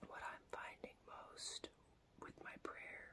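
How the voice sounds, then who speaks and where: A woman is whispering. She speaks very slowly. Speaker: vlogger. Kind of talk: whispered ASMR talk to camera about religion and prayer. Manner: whispered, soft. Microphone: phone near.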